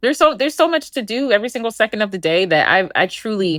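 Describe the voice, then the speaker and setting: A woman speaks in an animated tone at a fairly quick pace. The recording is very clean, with a silent background. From Philadelphia, US. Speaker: clinical psychologist and podcast host. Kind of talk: podcast monologue. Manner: fast.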